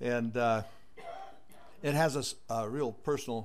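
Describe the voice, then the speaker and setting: A man with an American accent speaks with fairly even intonation amid audible room echo. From Northern California. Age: 80s+. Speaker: public commenter. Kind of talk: public comment.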